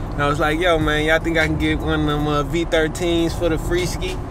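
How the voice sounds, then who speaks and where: A man speaks in a dry sound with no echo. Noticeable background noise can be heard. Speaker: music vlogger. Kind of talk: casual vlog chat. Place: car. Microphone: camera far.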